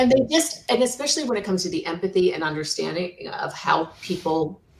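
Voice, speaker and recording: Against noticeable background noise, a woman speaks at a fairly low pitch with lively intonation. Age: 60s. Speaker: senior move manager. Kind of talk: interview.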